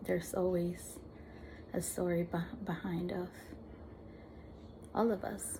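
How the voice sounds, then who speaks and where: Speaking in a somewhat breathy, dark, mellow tone, a woman with fairly low pitch keeps a monotone, flat delivery at a fairly slow pace, leaving long, frequent pauses amid audible room echo. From Peru, Lima; later Argentina. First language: Spanish. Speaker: vlogger with visual impairment. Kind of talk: personal testimony. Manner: halting, frequent repetitions.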